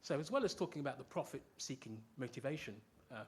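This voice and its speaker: Somewhat breathy, a man with a British accent speaks at a very fast pace. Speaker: professor. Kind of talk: lecture.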